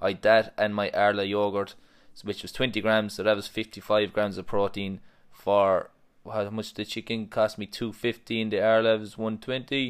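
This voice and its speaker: On a very clean recording with a silent background, a man with an Irish accent speaks in a fairly low, monotone, flat voice at a moderate pace. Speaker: personal trainer. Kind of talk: casual chat. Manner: joking, banter.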